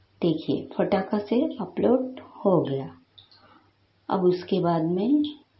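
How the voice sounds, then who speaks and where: Her voice shows vocal fry and very wide pitch swings as this woman speaks with long, frequent pauses in a room with audible echo. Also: medium pitch for a woman. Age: 50s. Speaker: YouTube creator. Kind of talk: tutorial. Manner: halting.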